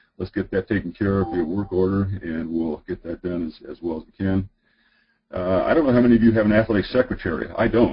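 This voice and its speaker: Fairly low in pitch and somewhat breathy, a man talks very fast with ordinary pitch variation. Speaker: high school athletic director. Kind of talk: webinar presentation. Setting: online webinar. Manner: many filler words.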